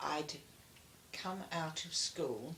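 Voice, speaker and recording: A woman with a southern English accent, a very deep, low pitch, a bright, sharp tone, and a very slow pace. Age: 80s+. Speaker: war witness. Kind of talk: interview answer.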